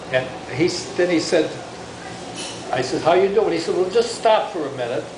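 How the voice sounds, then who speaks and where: A man talks at a fairly quick pace in an American accent, his intonation lively over noticeable background noise. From Michigan. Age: old. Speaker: grandfather. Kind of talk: casual storytelling after dinner.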